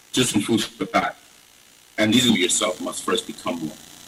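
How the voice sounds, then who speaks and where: A man talks fairly slowly while noticeable background noise carries on behind him. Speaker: entrepreneur. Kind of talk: conference talk.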